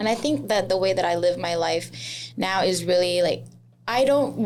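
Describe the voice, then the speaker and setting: There is audible room echo around this woman. She speaks at a moderate pace. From Laos. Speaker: chef and social media creator. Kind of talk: casual interview. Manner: loud, flamboyant.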